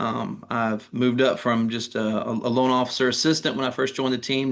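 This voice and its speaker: Speaking at a very fast pace, a man in a Southern US accent keeps to a medium pitch and a flat, monotone intonation. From North Carolina (Durham). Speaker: mortgage lender. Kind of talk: interview.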